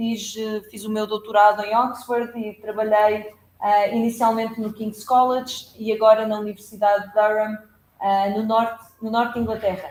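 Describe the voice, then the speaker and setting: At a moderate pace, a woman speaks with fairly high pitch and monotone, flat intonation. Her loudness swings a lot. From Portugal. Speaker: law professor. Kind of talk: academic lecture. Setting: seminar room with hybrid audience. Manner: halting, many fillers.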